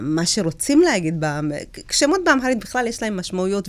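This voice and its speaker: A woman with an Ethiopian accent speaks at a fairly quick pace with lively intonation, on a very clean recording with a silent background. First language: Amharic (speaking Hebrew). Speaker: public speaker and former deputy mayor. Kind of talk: interview, personal life story. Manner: hesitant, with fillers.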